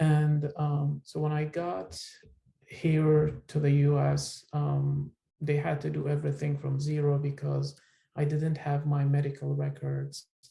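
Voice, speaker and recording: A man with an Iraqi accent speaks at a fairly slow pace. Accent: Iraqi Turkmen accent in English. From northern Iraq. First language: Turkmen. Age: 30s. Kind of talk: personal testimony. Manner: hesitant, many fillers.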